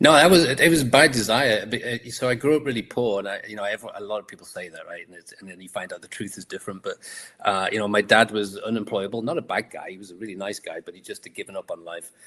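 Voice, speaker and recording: A man with a Liverpool accent talks at a very fast pace with hardly any pauses and big swings in loudness. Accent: Liverpool (Scouse) English. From England, Liverpool. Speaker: entrepreneur and author. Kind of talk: interview.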